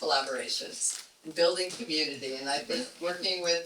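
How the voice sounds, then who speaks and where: A man with a high voice speaks at a moderate pace. Audible room echo and noticeable background noise surround him. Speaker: arts archive chair. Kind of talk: event welcome speech. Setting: event room with audience. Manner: halting.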